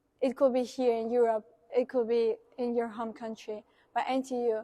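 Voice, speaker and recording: A woman with a Spanish accent speaks at a moderate pace in a fairly high, monotone voice with flat intonation. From Uruguay. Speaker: international student. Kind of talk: interview.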